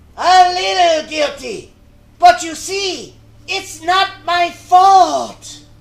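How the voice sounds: At a very slow pace, a man puts on a character voice pitched extremely high.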